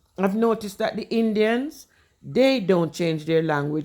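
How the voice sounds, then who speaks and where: A woman in a Jamaican accent speaks at a fairly slow pace with lively intonation on a very clean recording with a silent background. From Jamaica, Kingston. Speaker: vlogger. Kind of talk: casual explainer talk. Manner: mixes Jamaican Patois with English.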